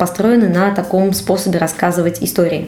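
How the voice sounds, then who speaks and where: A woman speaks at a medium pitch. There is noticeable noise behind her. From Russia, Cheboksary. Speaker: game writer. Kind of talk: casual interview.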